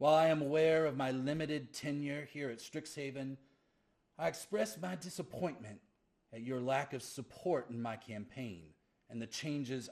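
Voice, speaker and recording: A booming, put-on character voice from a man, at a medium pitch and moderate pace with lively intonation. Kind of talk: formal, grand. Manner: disappointed, commanding.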